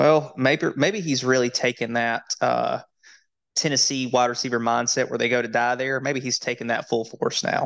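Speaking at a moderate pace with fairly even intonation, a man uses a plain, everyday voice at a medium pitch. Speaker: fantasy football podcast host. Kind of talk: casual sports banter podcast. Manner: casual, filler-heavy, conversational.

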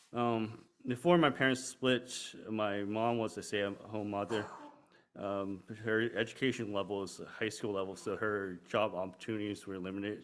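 A man with an American accent, fairly low pitch, fairly even intonation and a moderate pace. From Pittsburgh, US. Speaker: church member. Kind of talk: testimony. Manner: halting.

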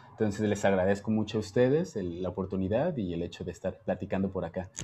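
A man talks at a very fast pace with fairly low pitch. His dark, mellow tone is somewhat breathy. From Jalisco, Mexico (small town). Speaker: dancer. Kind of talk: casual chat.

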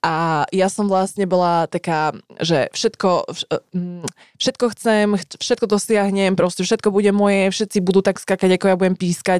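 A woman with a plain, everyday voice speaks at a moderate pace and a medium pitch with fairly even intonation. The sound is dry and close with no echo, in a very clean recording with a silent background. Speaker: podcast co-host. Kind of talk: casual chat.

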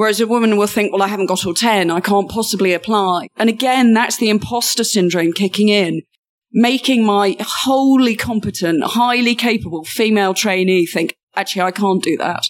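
In a British accent, a woman speaks fairly quickly at a medium pitch with ordinary pitch variation. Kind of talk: interview.

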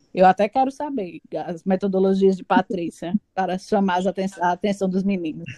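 Recorded with a dry, close sound and no echo, a woman speaks fairly quickly in a dark, mellow tone. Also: medium pitch for a woman, ordinary pitch variation. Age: 30s. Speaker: teacher. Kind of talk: casual chat. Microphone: poor audio quality.

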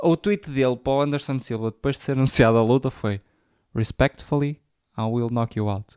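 Recorded dry and close with no echo, a man with a European Portuguese accent speaks at a medium pitch. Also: ordinary pitch variation, moderate pace, very clean recording, silent background. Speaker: podcast co-host. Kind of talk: casual chat. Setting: recorded at co-host's home.

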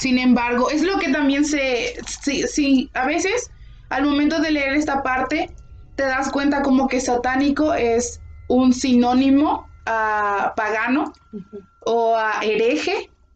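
Over music in the background, a woman talks at a very slow pace in a high pitch with ordinary pitch variation. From Mexico. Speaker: podcast co-host. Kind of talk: casual history discussion.

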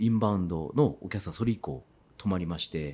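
The recording is very clean and the background silent. A man does the talking. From Kitakyushu, Fukuoka, Japan. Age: 40s. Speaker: farmer. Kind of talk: interview. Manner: animated.

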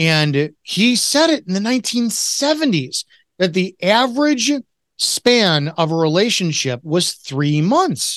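A man at a fairly slow pace with very wide pitch swings, against a quiet background. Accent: Chicago. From Chicago, US. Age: 40s. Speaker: retired police officer and author. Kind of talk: casual interview conversation.

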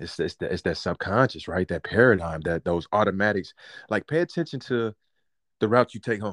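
A man's fairly low voice at a fairly quick pace, dry and close with no echo, against a quiet background. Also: lively intonation. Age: 30s. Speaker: podcast co-host and life coach. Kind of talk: angry rant, sarcastic sermon-style tirade. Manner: animated, loud, fiery and theatrical; playful, joking, fast.

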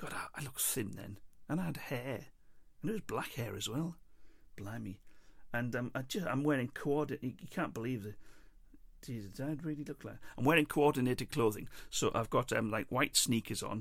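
The speaker has an English accent and a fairly quick pace. Long pauses come often. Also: man, medium pitch for a man, ordinary pitch variation. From England. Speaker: podcast host. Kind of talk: personal storytelling monologue. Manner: hesitant, many fillers and repeats.

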